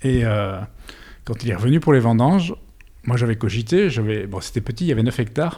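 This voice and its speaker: Long, frequent pauses break up this somewhat breathy voice, which has a dark, mellow tone and lively intonation. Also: man, medium pitch for a man, fairly quick pace. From Belgium, Brussels area. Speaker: winegrower. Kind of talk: interview. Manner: halting, many repetitions.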